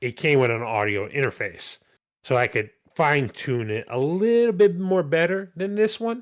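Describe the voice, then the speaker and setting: A man speaks at a fairly slow pace with very wide pitch swings. The recording is very clean, the background silent. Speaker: gaming podcast host. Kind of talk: casual chat.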